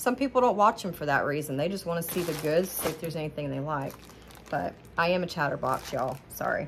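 Against noticeable background noise, a woman with a very deep, low pitch talks at a very fast pace. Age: 40s. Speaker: haul vlogger. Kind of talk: casual product haul monologue. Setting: home kitchen, ring light camera. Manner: chatty, rambling. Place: kitchen. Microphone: phone near.

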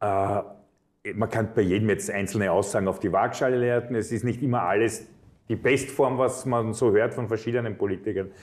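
A moderate pace and fairly even intonation. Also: man. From Vienna, Austria; Austria. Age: 50s. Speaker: politician; politician interviewee. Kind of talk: interview. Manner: frequent filler hesitations. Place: studio. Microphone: lapel.

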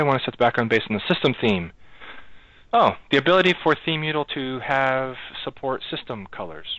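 A man's medium-pitched voice at a very fast pace, with lively intonation and a dry sound with no echo. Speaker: software project lead. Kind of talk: online meeting. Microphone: video call.

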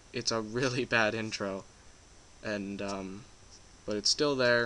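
In a bright, sharp tone, a man speaks at a medium pitch with fairly even intonation. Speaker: game development tutorial youtuber. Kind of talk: tutorial. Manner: casual, joking.

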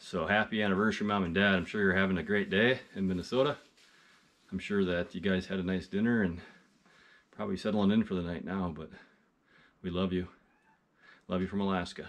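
A man speaks at a fairly quick pace in a very deep, low voice with fairly even intonation. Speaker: outdoor vlogger. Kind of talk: casual vlog chat. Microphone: phone near.

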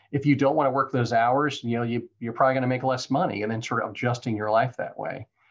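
An American accent with ordinary pitch variation. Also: man. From Florida. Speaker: real estate entrepreneur. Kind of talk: interview. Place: office. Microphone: video call.

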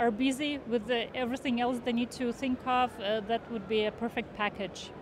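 A woman talks at a moderate pace. Her intonation stays fairly even.

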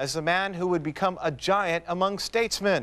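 The voice carries an American accent and moves at a fairly quick pace. Its pitch variation is ordinary. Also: man. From US. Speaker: TV news anchor. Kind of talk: late-night local TV newscast, reading stories and lead-ins from the anchor desk. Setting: TV studio. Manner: polished, measured anchor delivery with crisp broadcast cadence. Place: studio.

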